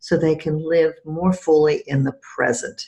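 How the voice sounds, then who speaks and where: This woman has a very deep, low pitch and a somewhat breathy sound, and she speaks at a fairly slow pace. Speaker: podcast host and EFT practitioner. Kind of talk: interview.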